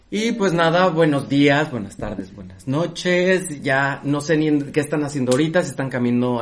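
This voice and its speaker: In a normal speaking voice, a man talks with fairly high pitch and lively intonation. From Mexico. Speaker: podcast host. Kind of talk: casual chat.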